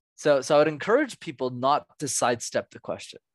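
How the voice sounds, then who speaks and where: In a Canadian accent, a man talks at a fairly quick pace in a plain, everyday voice, fairly high in pitch, with a dry, close sound and no echo. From Montreal, Canada. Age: 20s. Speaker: public speaking coach. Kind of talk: interview. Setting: podcast interview.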